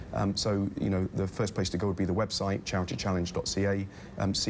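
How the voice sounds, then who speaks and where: Speaking with a British accent, a man uses a very deep, low pitch and monotone, flat intonation at a moderate pace. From UK. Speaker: charity travel company founder. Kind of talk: TV interview. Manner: hesitant with many fillers.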